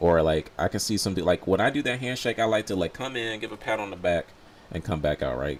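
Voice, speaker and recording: Over noticeable background noise, a man with an American accent talks in an animated tone at a fairly quick pace, his pitch swinging very widely. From US South. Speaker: gaming streamer. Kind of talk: casual live stream commentary.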